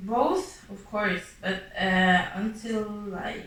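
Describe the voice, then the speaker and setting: Medium pitch and ordinary pitch variation from a woman, wrapped in audible room echo. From Norway. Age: 20s. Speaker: interviewee. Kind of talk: interview. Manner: hesitant.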